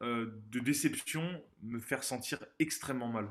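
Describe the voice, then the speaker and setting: A man is speaking. The background is quiet. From southern France, Montpellier. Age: 20s. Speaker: former judo athlete and business consultant. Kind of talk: interview testimony. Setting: remote call. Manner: energetic.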